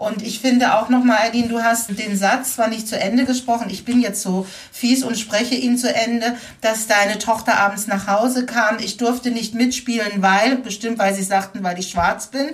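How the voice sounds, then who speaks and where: A woman's fairly high voice with fairly even intonation at a moderate pace, over noticeable background noise. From Baden-Württemberg (Baden-Baden). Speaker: educator and anti-racism trainer. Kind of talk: interview. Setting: remote recording.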